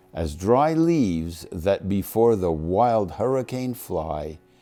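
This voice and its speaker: With music in the background, a man speaks in a fairly low pitch that swings very widely. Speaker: grandfather. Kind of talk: poetry reading.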